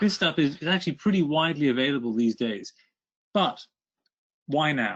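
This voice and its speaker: With a British accent, a man speaks in a fairly high voice with lively intonation and long, frequent pauses. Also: moderate pace. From Britain. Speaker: author and energy consultant. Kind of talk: webinar presentation.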